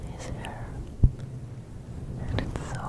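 A man is whispering. His voice is soft-spoken. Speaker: ASMR creator. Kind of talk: soft ASMR whisper to the viewer. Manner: soft close-mic ASMR whisper. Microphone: studio mic.

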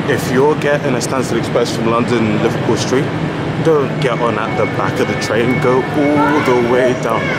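A man talks at a moderate pace in a dry sound with no echo. Loud background noise fills the recording. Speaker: travel vlogger. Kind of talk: casual vlog chat. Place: station. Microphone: phone near.

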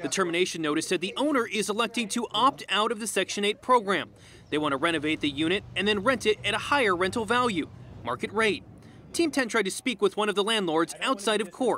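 Projecting a raised voice, a man talks at a very fast pace with lively intonation and a high pitch. The sound is dry with no echo, over light background noise. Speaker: TV news reporter. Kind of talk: TV news report.

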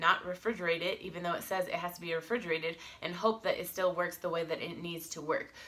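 A woman with an American accent at a fairly quick pace, fairly low in pitch, with fairly even intonation. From United States. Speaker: vlogger. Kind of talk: casual vlog talk to camera. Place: home room. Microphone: phone near.

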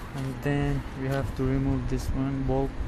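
Over loud background noise, a man with a non-native accent speaks at a very slow pace. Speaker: amateur car mechanic. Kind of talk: DIY repair tutorial. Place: garage. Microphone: phone near.

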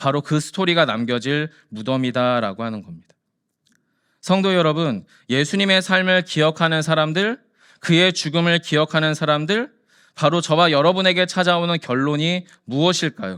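The recording is very clean, with a silent background. A man speaks at a moderate pace in a fairly high, animated voice. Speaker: pastor. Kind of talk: sermon.

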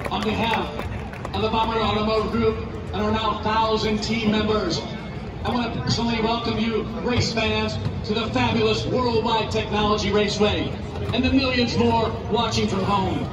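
The speaker moves at a moderate pace while music plays in the background. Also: man. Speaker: pre-race announcer. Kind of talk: public address speech. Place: stadium.

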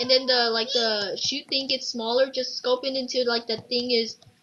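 The voice is loud. It moves at a moderate pace. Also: woman. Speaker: gamer. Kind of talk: gameplay commentary. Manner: animated.

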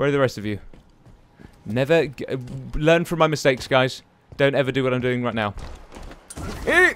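Music plays in the background while a man at a medium pitch talks at a very fast pace. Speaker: gaming YouTuber. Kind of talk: live gameplay commentary. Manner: animated.

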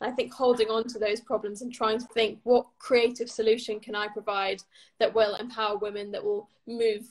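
A woman talks fairly quickly in a fairly high voice. Her intonation is monotone and flat over a quiet background. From England. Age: 20s. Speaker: author and magazine editor. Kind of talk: interview. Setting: video call. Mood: warm, thoughtful. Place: home room. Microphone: video call.

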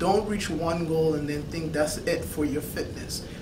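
With noticeable background noise around him, a man talks in a fairly high voice. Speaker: fitness vlogger. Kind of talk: vlog Q&A monologue. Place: office. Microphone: camera far.

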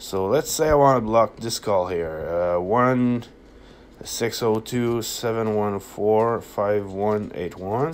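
A man talks at a slow pace with a fairly low pitch. His pitch variation is ordinary.

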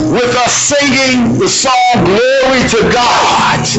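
A man is speaking. Loud music plays behind him. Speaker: worship leader or minister. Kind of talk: sermon-style exhortation. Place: church. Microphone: camera far.

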